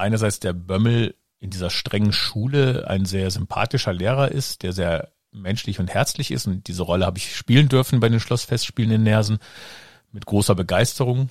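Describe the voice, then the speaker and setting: A man with a normal speaking voice and a fairly low pitch talks at a moderate pace with ordinary pitch variation, in a dry, close sound with no echo. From Germany, Rhineland (Kreis Neuss). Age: 50s. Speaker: podcast host, actor and director. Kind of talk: casual chat.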